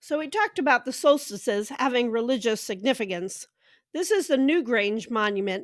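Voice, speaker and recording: The recording is very clean, with a silent background. A woman speaks at a high pitch with lively intonation. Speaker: pagan educator and channel host. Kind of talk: educational presentation.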